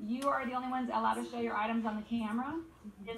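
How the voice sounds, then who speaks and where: A woman talks at a fairly quick pace, with light background noise and audible room echo. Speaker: teacher hosting class call. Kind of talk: instructions to a class. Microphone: video call.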